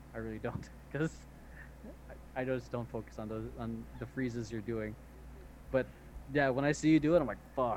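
The pace is moderate. Long pauses come frequently. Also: man. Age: 20s. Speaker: podcast host and dance instructor. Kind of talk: casual chat. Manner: animated.

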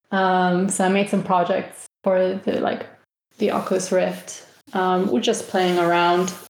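Against audible room echo, a woman talks at a fairly slow pace and medium pitch, her intonation monotone and flat and her loudness very even. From Spain, Sweden, Germany and the Netherlands. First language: Spanish. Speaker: games designer. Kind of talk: interview.

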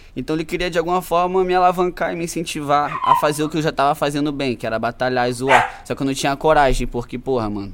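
A very fast pace with hardly any pauses. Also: man, fairly high pitch for a man, ordinary pitch variation. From Brazil, Macaé (Rio de Janeiro state). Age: 20s. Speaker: rapper. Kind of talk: casual chat.

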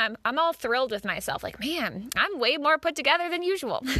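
A woman with an American accent uses a raised, projected voice, lively intonation and a bright, sharp tone. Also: dry, close sound with no echo, quiet background. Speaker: podcast host. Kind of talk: casual interview.

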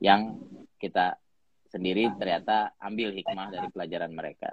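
The man talks at a very fast pace. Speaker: co-host, leadership community founder. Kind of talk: casual chat. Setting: video call.

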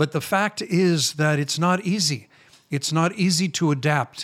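This man has a fairly high pitch and an American accent, with ordinary pitch variation. The recording is very clean, with a silent background. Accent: American, retained. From Chicago, US. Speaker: rabbi, ministry founder. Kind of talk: interview conversation.

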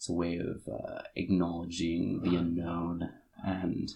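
Vocal fry is present in this man's speech. His pitch sits very deep and low. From Alaska (Kodiak Island). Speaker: university student. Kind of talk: casual chat.

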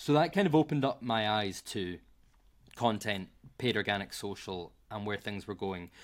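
A man's fairly low voice with a Glasgow accent, ordinary pitch variation and a moderate pace, on a very clean recording with a silent background. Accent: Scottish (Glasgow). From Scotland. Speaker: marketing professional. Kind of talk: casual interview chat.

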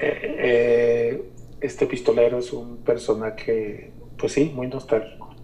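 A man's very slow speech over noticeable background noise. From Mexico, Guadalajara. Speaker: artist and curator. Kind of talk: radio interview.

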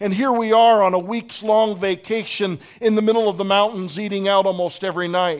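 This man talks at a fairly quick pace with an American accent. His pitch is high and his intonation fairly even. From Pittsburgh, US. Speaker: pastor. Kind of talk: sermon. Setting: church.

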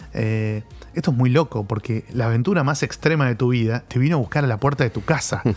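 Medium pitch for a man, ordinary pitch variation and a fairly quick pace from a male speaker. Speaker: comics expert. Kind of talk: casual chat. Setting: studio. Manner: halting.

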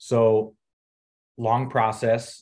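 In a quiet background, a man speaks with an American accent. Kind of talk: tutorial. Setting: video call.

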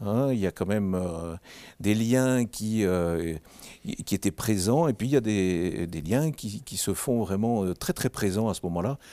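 Very slowly, a man speaks in a fairly low, dark, mellow voice on a very clean recording with a silent background. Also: ordinary pitch variation, dry, close sound with no echo. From Belgium, Mouscron (Hainaut). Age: 60s. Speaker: social worker, charity founder. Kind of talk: interview.

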